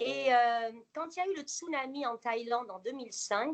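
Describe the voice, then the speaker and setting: Her pace is fairly slow, and her pitch varies in an ordinary way. The woman's voice is high-pitched. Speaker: interviewee, former nurse living abroad. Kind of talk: interview. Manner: hesitant, many fillers.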